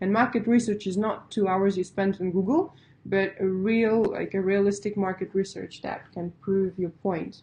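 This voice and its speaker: A woman with a Russian accent, at a moderate pace, with a dark, mellow, somewhat breathy tone and monotone, flat intonation. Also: medium pitch for a woman. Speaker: pitch coach. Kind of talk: webinar lecture. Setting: online webinar. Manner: casual, conversational with fillers.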